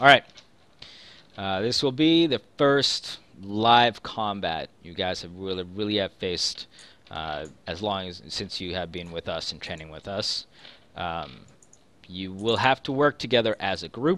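Putting on a gruff character voice, a man talks fairly slowly at a fairly low pitch. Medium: actual play. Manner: gruff, instructive.

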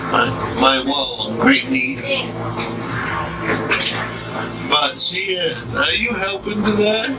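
A man speaks over loud music playing in the background. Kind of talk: casual vlog chat. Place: kitchen. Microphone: phone near.

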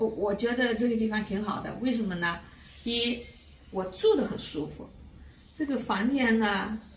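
A woman with a Fuzhou accent speaks at a moderate pace and fairly high pitch, with ordinary pitch variation and long, frequent pauses. Audible room echo and light background noise are present. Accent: Fuzhou, Fujian. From grew up in Fuzhou, lives in Weihai. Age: 70s. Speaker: care home resident. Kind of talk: interview answer. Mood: calm, content. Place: home room.

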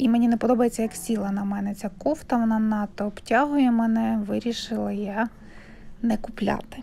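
A woman speaks with a dark, mellow tone and a fairly high pitch. Her voice is somewhat breathy and her intonation fairly even. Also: moderate pace. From Ukraine. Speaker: vlogger. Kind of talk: fitting-room shopping vlog. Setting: second-hand shop fitting room. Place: shop. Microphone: phone near.

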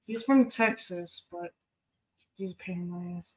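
A woman of medium pitch speaks with an American accent at a fairly slow pace, somewhat breathy. Her loudness swings widely, while her pitch varies in an ordinary way. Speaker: cooking streamer. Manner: profane, teasing.

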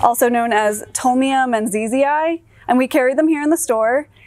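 Lively intonation marks this voice with an American accent, recorded dry with no echo over faint music in the background. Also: woman. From North Carolina. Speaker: greenhouse supervisor. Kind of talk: informal staff introduction video. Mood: friendly, warm. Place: shop. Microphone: lapel.

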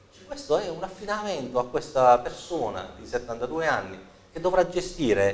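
This man's intonation is lively. His pace is fairly slow. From Apulia. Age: 40s. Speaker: local politician and accountant; guest. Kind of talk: political interview; interview answer. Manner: halting, many repetitions and fillers. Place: studio. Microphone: lapel.

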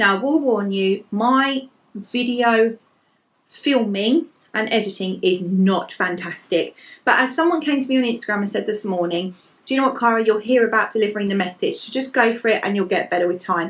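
With an English accent, a woman speaks fairly quickly at a fairly high pitch with ordinary pitch variation. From England. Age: 30s. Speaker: lifestyle blogger. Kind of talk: fashion vlog. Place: home room. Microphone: phone near.

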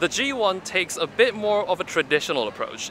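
Delivered at a fairly quick pace, the lively intonation comes through a dry sound with no echo and light background noise. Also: man. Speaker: tech reviewer. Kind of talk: casual vlog review. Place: street.

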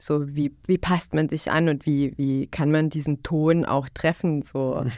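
Very deep and low in pitch, a woman speaks in a dark, mellow tone with monotone, flat intonation at a fairly slow pace. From Bosnia, northwest (Una-Sana region). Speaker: youth worker. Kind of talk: podcast conversation. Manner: repetitive, halting with fillers.

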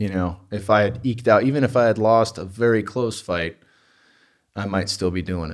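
A man speaks at a moderate pace with a fairly low pitch. His pitch varies in an ordinary way against a quiet background. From Northern California, US. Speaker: former cage fighter, podcaster; podcaster. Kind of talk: casual chat. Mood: reflective. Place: home room. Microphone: studio mic.

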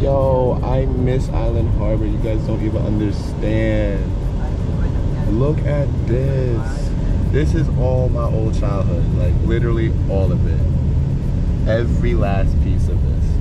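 A man speaks at a very slow pace. Loud background noise is present. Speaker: travel vlogger. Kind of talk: casual vlog chat. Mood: excited, nostalgic. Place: car.

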